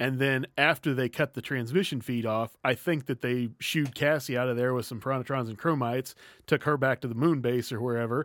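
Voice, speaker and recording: Recorded very cleanly with a silent background and a dry, close sound with no echo, a man uses an ordinary speaking voice at a medium pitch with ordinary pitch variation. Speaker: guest, voice actor. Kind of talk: casual chat.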